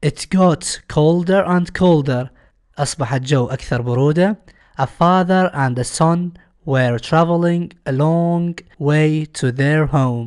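A man with an Iraqi accent speaks very slowly in a fairly high voice, with ordinary pitch variation against a quiet background. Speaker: English teacher. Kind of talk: tutorial. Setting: recorded lesson video.

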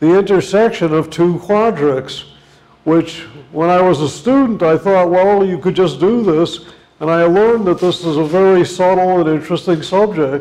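A man speaks at a high pitch with very even loudness. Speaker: visiting lecturer. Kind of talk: lecture. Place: classroom. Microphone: lapel.

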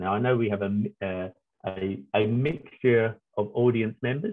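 A man with a plain, everyday voice and fairly low pitch talks at a fairly slow pace with ordinary pitch variation over a quiet background. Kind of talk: lecture. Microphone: video call.

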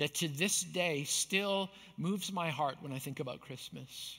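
Fairly high-pitched man with a bright, sharp tone, fairly slow pace and ordinary pitch variation against a quiet background. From Canada, Manitoba. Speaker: pastor. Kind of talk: sermon. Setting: church. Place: stage.

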